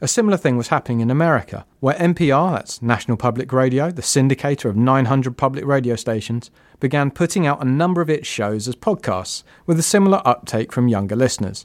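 A man's lively intonation at a very fast pace, on a very clean recording with a silent background. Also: medium pitch for a man. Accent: British. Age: 30s. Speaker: podcast producer. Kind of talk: scripted narration.

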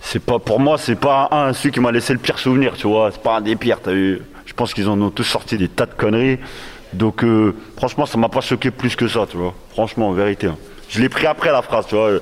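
Noticeable background noise sits behind a man's voice. He speaks at a medium pitch and a fairly quick pace. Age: 40s. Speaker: rapper. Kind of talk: casual discussion. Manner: halting.

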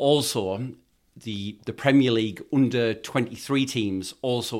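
Speaking at a moderate pace with fairly even intonation, a man's medium-pitched voice comes through a very clean recording over a silent background. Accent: Geordie. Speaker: football fan. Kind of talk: casual chat.

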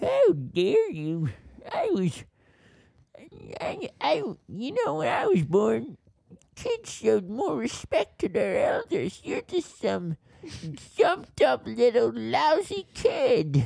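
A put-on character voice at a very slow pace, with long, frequent pauses. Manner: indignant, scolding.

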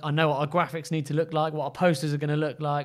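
The delivery is very fast and flat, with monotone intonation. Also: man. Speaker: podcast co-host, brand entrepreneur. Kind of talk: casual chat.

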